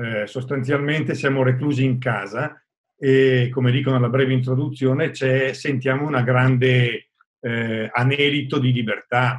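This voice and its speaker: The voice moves at a fairly slow pace with monotone, flat intonation. The background is quiet. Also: man. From Bergamo area, Lombardy; Lombardy, Italy. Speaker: cultural organizer and reader; reader. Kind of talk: reading aloud. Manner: halting. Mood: calm, reflective.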